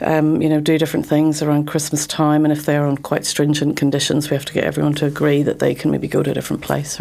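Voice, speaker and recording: A woman with a Northern Irish accent, very deep, low pitch, monotone, flat intonation and a very fast pace, over noticeable background noise. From Northern Ireland, Belfast. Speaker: criminal barrister. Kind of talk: interview. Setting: studio. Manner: hesitant, many fillers.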